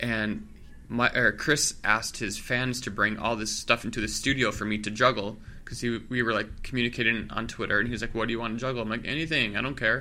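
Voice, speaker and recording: Speaking at a very fast pace with fairly even intonation, a man with an American accent has a bright, sharp tone. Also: medium pitch for a man. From Milwaukee, US Midwest. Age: 30s. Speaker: comedian and juggler. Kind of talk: casual interview chat.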